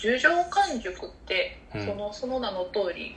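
Noticeable background noise surrounds a woman speaking at a fairly high pitch. She goes fairly slowly, with very wide pitch swings. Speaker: coffee company podcast co-host. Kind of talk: casual chat. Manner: soft, gentle and soothing.

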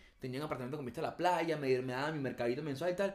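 Ordinary pitch variation in a Venezuelan accent. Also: man. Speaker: podcast co-host. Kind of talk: casual chat.

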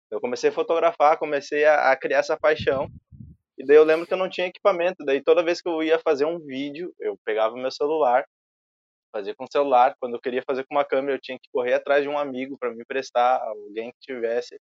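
Very fast delivery with big swings in loudness and ordinary pitch variation. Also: man, fairly high pitch for a man. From southern Brazil, Rio Grande do Sul (Alvorada). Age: 20s. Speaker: filmmaker and photographer. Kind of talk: casual interview chat.

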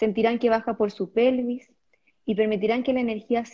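A woman's calm, soothing tone at a fairly high pitch, monotone and flat in intonation, at a moderate pace. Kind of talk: guided meditation.

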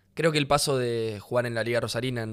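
Here a man of medium pitch talks at a fairly quick pace with fairly even intonation. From Rosario, Argentina. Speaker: footballer. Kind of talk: casual chat.

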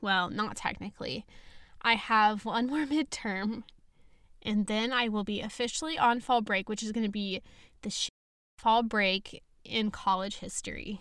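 In a very clean recording with a silent background, a woman with a normal speaking voice talks fairly slowly, her fairly high pitch showing ordinary variation. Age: young. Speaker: podcast host. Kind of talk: casual chat. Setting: home recording.

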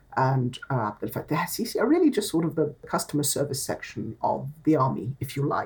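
A woman speaks with a somewhat breathy, dark, mellow tone. Her intonation is lively. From Egypt. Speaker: think tank scholar. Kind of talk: interview.

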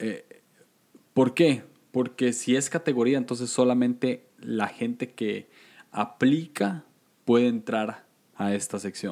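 A dark, mellow tone in a Costa Rican accent, at a very slow pace with long, frequent pauses and ordinary pitch variation, on a very clean recording with a silent background. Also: man, medium pitch for a man. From Costa Rica, San José. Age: 20s. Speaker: podcaster. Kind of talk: casual chat.

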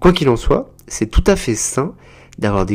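A man is speaking. His pace is moderate. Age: 30s. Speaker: psychotherapist, podcast host. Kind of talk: informative podcast monologue.

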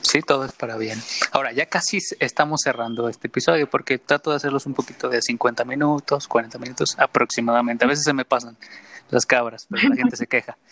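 A man talks at a fairly quick pace with a medium pitch and fairly even intonation. The sound is dry and close with no echo, though background noise is noticeable. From Mexico, San Luis Potosí and Mexico City. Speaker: podcast host. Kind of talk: casual interview chat.

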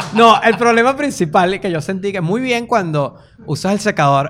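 Noticeable background noise sits behind a man speaking at a fairly quick pace with lively intonation. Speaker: comedian. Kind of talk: casual chat. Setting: studio with small audience.

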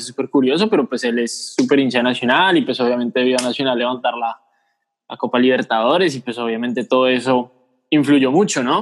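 With an ordinary speaking voice, a man at medium pitch talks at a fairly quick pace. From Bogotá, Colombia. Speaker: sports podcast co-host. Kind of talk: casual chat.

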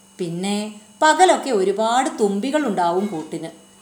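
Very wide pitch swings against audible room echo. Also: woman. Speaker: audiobook narrator. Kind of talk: reading aloud.

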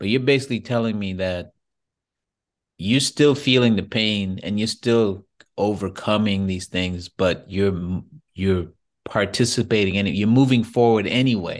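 Man with a plain, everyday voice, fairly low pitch and ordinary pitch variation, over a quiet background. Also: fairly slow pace. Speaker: podcast host. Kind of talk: interview. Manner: casual, encouraging.

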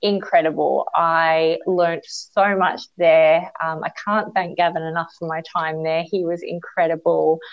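A woman with an Australian accent speaks at a moderate pace and a fairly low pitch. Her intonation is monotone and flat. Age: 30s. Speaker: beauty industry educator. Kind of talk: interview.

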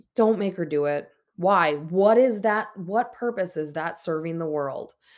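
An Upper Midwest accent at a moderate pace, ordinary pitch variation, and a very clean recording with a silent background. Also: woman. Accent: Upper Midwest American. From Minnesota. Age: 30s. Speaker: podcast host. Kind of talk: solo podcast monologue. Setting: at home on her bed. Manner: talkative.

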